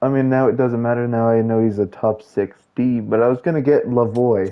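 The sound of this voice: A man talks fairly quickly at a medium pitch, and his pitch moves an ordinary amount.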